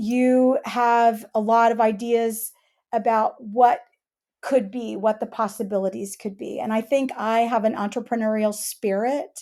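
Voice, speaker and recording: In a very clean recording with a silent background, a woman with a fairly high pitch and dark, mellow tone speaks at a fairly slow pace with fairly even intonation. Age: 60s. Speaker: sign language interpreter and business owner. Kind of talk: interview. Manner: few filler words.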